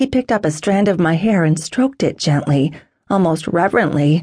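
A woman with an unremarkable speaking voice talks at a moderate pace. Her intonation is lively. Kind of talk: audiobook dramatic first-person narration. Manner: tense, emotional, intense.

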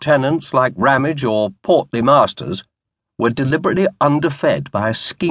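The speaker uses an unforced reading voice. Behind it, the background is quiet.

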